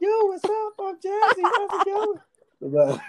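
A squeaky, put-on character voice with an extremely high pitch and an upbeat tone, delivered at a fairly slow pace. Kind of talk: casual slang. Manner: hyped, upbeat.

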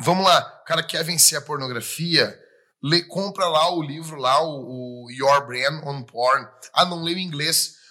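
A man's fairly high voice, bright and sharp in tone, at a fairly slow pace with ordinary pitch variation. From Rio Grande do Sul, Brazil. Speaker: pastor. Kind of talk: casual chat.

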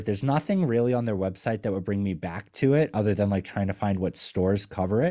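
A man's dark, mellow tone at a fairly quick pace, in a very clean recording with a silent background. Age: 30s. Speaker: podcast industry analyst and founder. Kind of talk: interview.

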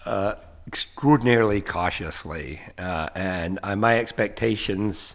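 A man with an American accent has a plain, everyday voice, fairly low in pitch. He speaks at a fairly slow pace with ordinary pitch variation. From US South, Asheville, North Carolina. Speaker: professor. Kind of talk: casual chat.

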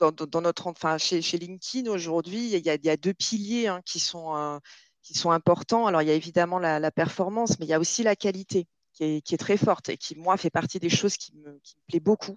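A woman with a normal speaking voice talks fairly quickly at a fairly low pitch, her loudness swinging widely and her pitch varying in an ordinary way, in a dry, close recording with no echo and a quiet background. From southern France, Nîmes. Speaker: recruitment manager. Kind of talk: interview.

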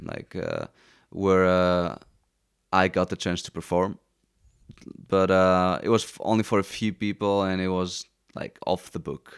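With a Greek accent, a man with a very deep, low pitch talks at a fairly slow pace in a monotone, flat intonation, his loudness swinging widely between long, frequent pauses, in a very clean recording with a silent background and a dry, close sound with no echo. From Greece, Athens. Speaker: musician. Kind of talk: casual chat. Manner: halting.

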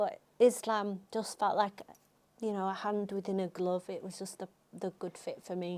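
A woman's medium-pitched voice at a moderate pace, in a monotone, flat intonation. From England. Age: 40s. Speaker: Amazon seller and business coach. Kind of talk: casual interview chat.

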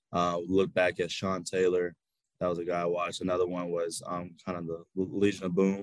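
At a moderate pace, a man with an American accent speaks with a very deep, low pitch and monotone, flat intonation. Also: dry, close sound with no echo. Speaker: college football player. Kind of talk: interview. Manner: halting.

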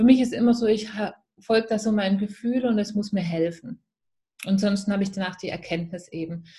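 This woman has a Swabian accent and a dark, mellow tone. She sounds somewhat breathy and talks at a fairly quick pace. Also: medium pitch for a woman, ordinary pitch variation. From Swabia, near Stuttgart. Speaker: spiritual mindset and business coach. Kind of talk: interview.

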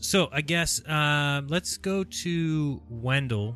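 With music in the background, the man talks using ordinary pitch variation. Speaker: live stream host. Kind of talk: casual group livestream chat. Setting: video call. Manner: upbeat, chatty.

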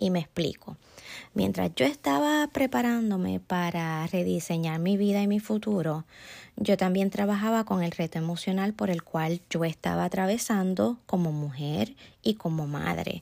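A dark, mellow tone with very even loudness and lively intonation. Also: woman, fairly low pitch for a woman, very clean recording, silent background. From Puerto Rico. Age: 50s. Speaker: esthetician. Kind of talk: interview. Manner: formal.

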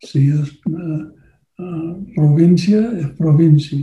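A man speaks very slowly, with a fairly high pitch and a dark, mellow tone. His intonation is fairly even, and he has a non-native accent. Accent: foreign, non-native Spanish. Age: old. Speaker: political campaign consultant. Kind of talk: workshop lecture. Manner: halting, many fillers.

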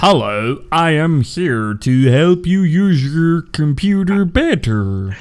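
The man speaks very slowly in a put-on character voice. His pitch is fairly high. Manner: flat, robotic.

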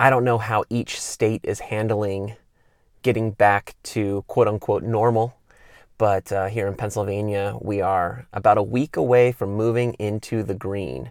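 A man speaks in an ordinary speaking voice with an American accent, pitched fairly low, at a fairly slow pace with fairly even intonation. The very clean recording has a silent background and a dry, close sound with no echo. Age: 30s. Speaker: podcast host, former pro BMX rider. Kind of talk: solo podcast monologue. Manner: casual, many fillers.

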